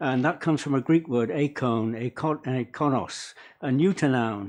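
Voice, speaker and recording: An English-accented man talks at a moderate pace in a medium pitch. His pitch varies in an ordinary way. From England. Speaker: public submitter. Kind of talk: public hearing submission. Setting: council meeting with audience.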